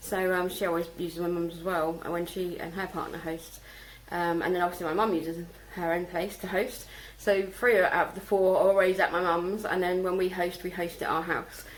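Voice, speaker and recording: The speech moves at a fairly quick pace with a monotone, flat intonation. Noticeable background noise and audible room echo surround it. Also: woman, fairly low pitch for a woman. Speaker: vlogger and home-schooling mum. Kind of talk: casual vlog monologue. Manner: fast; hesitant with many fillers.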